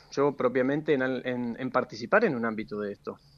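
With a normal speaking voice, a man talks at a fairly high pitch with ordinary pitch variation. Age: 30s. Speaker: politician and public administrator. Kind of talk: radio interview. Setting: phone or remote line.

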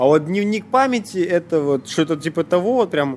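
A man speaks at a moderate pace with a high pitch and very wide pitch swings. Noticeable background noise runs under his voice. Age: 20s. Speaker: bartender. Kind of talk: casual chat.

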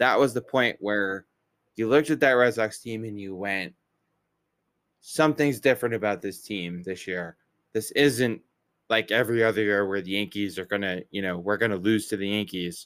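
The man has an unremarkable speaking voice with a fairly low pitch. He moves at a moderate pace with ordinary pitch variation. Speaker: baseball podcast host. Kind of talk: casual chat.

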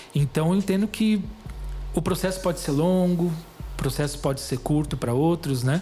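A man with a fairly high pitch, ordinary pitch variation, very even loudness and a moderate pace, with music in the background. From Greater São Paulo (São Caetano), Brazil. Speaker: missionary and author. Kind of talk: testimony interview.

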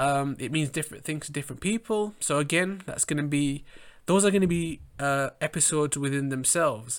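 A man with an English accent talks at a fairly quick pace, his pitch varying in an ordinary way. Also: fairly high pitch for a man, very clean recording, silent background. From England. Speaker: podcast host and fashion model. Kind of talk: solo monologue podcast.

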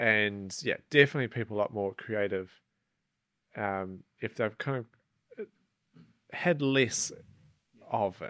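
A man's fairly low, bright, sharp voice at a fairly slow pace, with ordinary pitch variation, long, frequent pauses and a dry, close sound without echo. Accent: New Zealand. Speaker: outdoor guide and adventurer. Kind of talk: casual interview. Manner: hesitant, many fillers.

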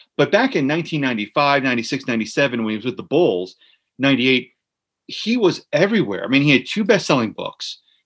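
A man speaks in a New Jersey accent with very wide pitch swings. The background is quiet. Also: fairly high pitch for a man, moderate pace. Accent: New Jersey American. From US Northeast, Central New Jersey (Monmouth County). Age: 40s. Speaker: author and sports writer. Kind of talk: casual interview chat.

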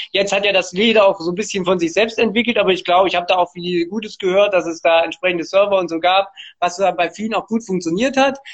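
A man with a high voice, talking at a very fast pace with fairly even intonation. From Thuringia, Germany (Erfurt). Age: 20s. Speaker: city councillor. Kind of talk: interview.

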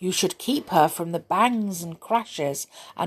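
The speaker has a natural reading voice.

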